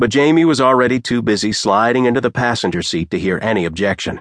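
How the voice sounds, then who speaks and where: The sound is dry and close with no echo as a man speaks at a moderate pace against a quiet background. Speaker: audiobook narrator. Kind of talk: dramatic audiobook narration of a fantasy romance. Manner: animated, voicing characters with banter and mock surprise.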